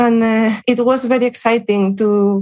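A woman speaks with a Spanish accent. Her intonation stays fairly even. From Spain, Salamanca. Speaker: cancer researcher. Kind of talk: interview. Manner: halting, with fillers.

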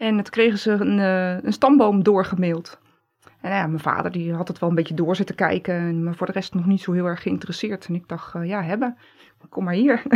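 A woman's unremarkable speaking voice at a medium pitch, with ordinary pitch variation, big swings in loudness, and a fairly quick pace. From Netherlands, Gouda. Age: 40s. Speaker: pharmacy assistant. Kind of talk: interview.

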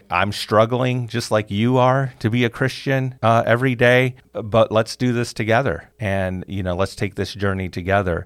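An unremarkable speaking voice from a man with an American accent, at a moderate pace with ordinary pitch variation, in a very clean recording with a silent background. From US Midwest, Chicago. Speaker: university department chair. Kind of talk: interview.

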